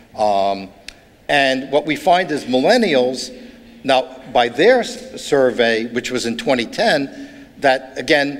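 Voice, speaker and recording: This man has a New York accent and a fairly high pitch with lively intonation. Noticeable background noise runs behind him. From New York, Brooklyn. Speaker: author and urban studies speaker. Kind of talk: keynote lecture. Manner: halting.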